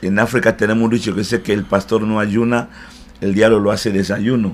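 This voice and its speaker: In a fairly low male register, his intonation stays monotone and flat. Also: fairly quick pace. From DR Congo, Central Africa. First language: not Spanish; learned it in Cuba (speaking Spanish). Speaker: pastor. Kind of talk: interview. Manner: hesitant, frequent eh fillers.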